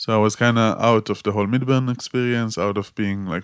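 A man with an Israeli accent speaks at a moderate pace with fairly even intonation. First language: Hebrew. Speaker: activist and photographer. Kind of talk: interview conversation.

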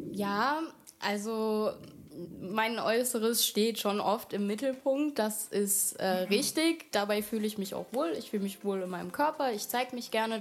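With a plain, everyday voice, a woman speaks at a fairly slow pace with a fairly high pitch and ordinary pitch variation. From Germany, Wiesbaden (Hesse). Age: 20s. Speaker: model. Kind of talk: casual interview. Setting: studio, shared microphone.

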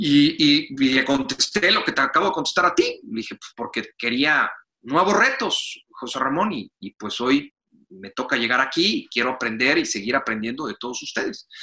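A man with a Mexican accent has a fairly high pitch and a bright, sharp tone. His pitch swings very widely and his loudness swings a lot, all at a moderate pace. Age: 30s. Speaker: sports journalist and commentator. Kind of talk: interview.

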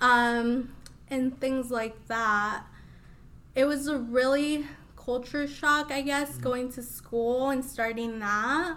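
Amid audible room echo, a woman with an American accent speaks very slowly at a high pitch with fairly even intonation. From US Midwest, Des Moines, Iowa. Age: 20s. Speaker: beauty business owner. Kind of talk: interview. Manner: casual.

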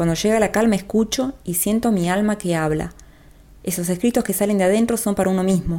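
Her voice is a medium pitch with a dark, mellow tone, moving at a fairly quick pace. The recording is very clean, with a silent background. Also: ordinary pitch variation. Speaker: podcast host and writer. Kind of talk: scripted narration. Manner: fast.

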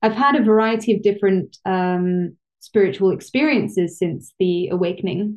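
A woman with a London accent speaks at a medium pitch and moderate pace. Her loudness is very even, her pitch variation ordinary, and there are hardly any pauses. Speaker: research psychologist and yoga teacher. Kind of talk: interview conversation.

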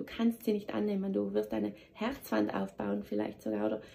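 A woman speaks at a moderate pace. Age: 30s. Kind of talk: motivational monologue. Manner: animated.

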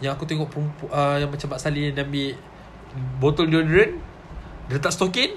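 A man's fairly high voice at a fairly quick pace, broken by long, frequent pauses, over noticeable background noise. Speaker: podcast guest. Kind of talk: casual chat. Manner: animated, laughing often.

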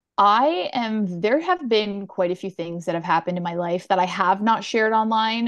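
A woman uses a plain, everyday voice with a Canadian accent and medium pitch. She keeps a moderate pace over a quiet background. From Ontario, Canada (Durham region near Toronto). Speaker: content creator. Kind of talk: casual chat.

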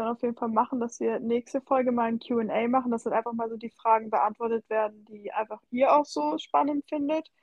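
An ordinary speaking voice from a woman, fairly high in pitch with ordinary pitch variation, at a moderate pace with hardly any pauses. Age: 20s. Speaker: podcast co-host and social media creator. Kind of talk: casual chat. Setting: remote call.

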